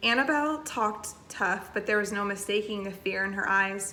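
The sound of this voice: What we hear is an unforced reading voice.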